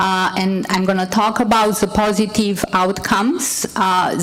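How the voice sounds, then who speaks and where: Amid noticeable background noise and audible room echo, a woman with a non-native accent speaks at a very slow pace with fairly even intonation. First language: not English. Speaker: nurse and healthcare executive. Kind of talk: conference panel presentation.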